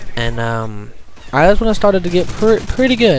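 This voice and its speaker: A man speaks with a Southern US accent and lively intonation. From US South. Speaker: gaming commentator. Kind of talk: gameplay commentary. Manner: stuttering; casual.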